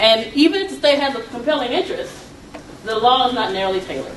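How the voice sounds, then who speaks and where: Over noticeable background noise and audible room echo, a woman with an American accent talks fairly quickly, her pitch swinging very widely. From Atlanta, Georgia (US South). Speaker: law professor. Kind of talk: lecture. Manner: fast.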